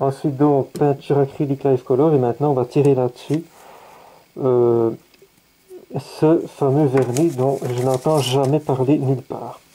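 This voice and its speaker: A man speaks at a medium pitch with monotone, flat intonation. His pace is fairly slow, with long, frequent pauses. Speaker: scale model hobbyist YouTuber. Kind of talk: product test tutorial. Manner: casual, hesitant with fillers.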